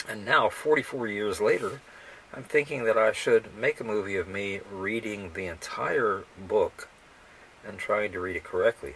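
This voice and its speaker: The speech moves at a moderate pace with big swings in loudness and noticeable background noise. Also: man. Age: 70s. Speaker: experimental poet. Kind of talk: casual monologue to camera before reading aloud. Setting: at home, self-recorded video. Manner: halting, with fillers.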